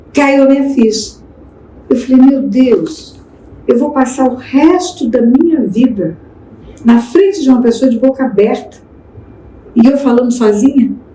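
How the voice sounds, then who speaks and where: A woman speaks in a high pitch at a fairly slow pace, with ordinary pitch variation and very even loudness. Long, frequent pauses break her speech, and noticeable background noise is present. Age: 70s. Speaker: pastor and speaker. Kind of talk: podcast interview.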